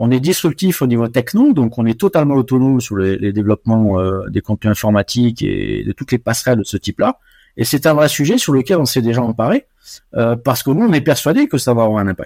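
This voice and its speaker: A man's dark, mellow voice at medium pitch, with lively intonation, on a very clean recording with a silent background. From West Africa (Côte d'Ivoire, Morocco, Senegal). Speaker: chartered accountant and auditor. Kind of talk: interview. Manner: hesitant, many fillers.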